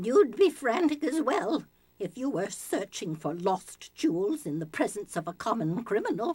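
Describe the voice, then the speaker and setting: Using a put-on character voice, a woman speaks at a moderate pace with a fairly high pitch and very wide pitch swings. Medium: video game. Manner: flustered, haughty.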